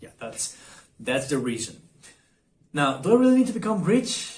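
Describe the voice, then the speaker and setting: A man's somewhat breathy voice moves through very wide pitch swings. Audible room echo surrounds it. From Argentina. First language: Spanish. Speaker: vlogger. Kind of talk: casual vlog monologue. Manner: halting, many fillers and repetitions.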